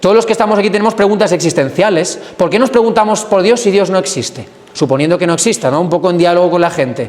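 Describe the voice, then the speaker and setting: Animated and very fast, a man speaks at a high pitch with ordinary pitch variation, hardly any pauses and very even loudness. Audible room echo and noticeable background noise surround him. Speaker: priest catechist. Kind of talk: adult catechesis lecture.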